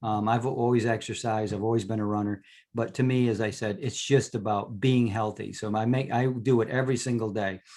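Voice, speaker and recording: A man with an American accent talks in an ordinary speaking voice at medium pitch, with fairly even intonation. He goes at a fairly quick pace with hardly any pauses, on a very clean recording with a silent background. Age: 60s. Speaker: naturopath and supplement seller. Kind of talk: talk to a club meeting. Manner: casual, with many fillers and restarts.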